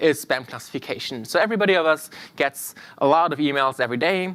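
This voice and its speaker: Recorded very cleanly against a silent background, a man talks in a fairly high pitch with lively intonation. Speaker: machine learning instructor. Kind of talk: tutorial. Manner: fast.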